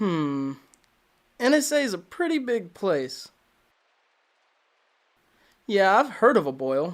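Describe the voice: This is a put-on character voice. It moves slowly, with big pitch swings. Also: man, high pitch for a man.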